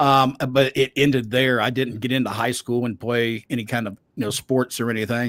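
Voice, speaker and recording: The speaker has a Southern US accent and a moderate pace. The recording is very clean and silent behind, with a dry, close sound and no echo. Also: man. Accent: Southern US (Georgia). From US South, Savannah, Georgia. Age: 60s. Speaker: wrestling podcast host and voice actor. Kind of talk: interview.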